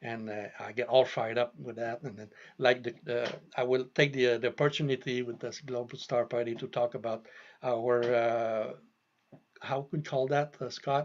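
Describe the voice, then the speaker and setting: Delivered at a moderate pace, the speech has fairly even intonation but big swings in loudness. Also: man, medium pitch for a man. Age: 60s. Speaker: telescope maker. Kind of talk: casual interview. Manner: halting.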